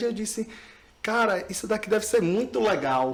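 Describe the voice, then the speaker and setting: A man speaks at a fairly slow pace. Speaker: speech therapist. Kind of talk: podcast interview.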